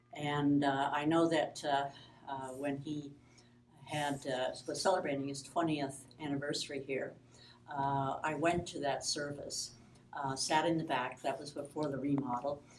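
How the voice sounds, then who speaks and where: A woman with an American accent and a very deep, low pitch speaks at a fairly slow pace with long, frequent pauses. Room echo is audible. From Michigan, US Midwest. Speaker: pastor. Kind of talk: interview, personal story. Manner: halting.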